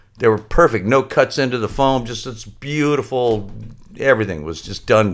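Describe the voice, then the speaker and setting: A man's normal speaking voice at medium pitch, moderate in pace, with ordinary pitch variation, in a very clean recording with a silent background. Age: 60s. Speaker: surfboard laminator and shop owner. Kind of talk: casual interview.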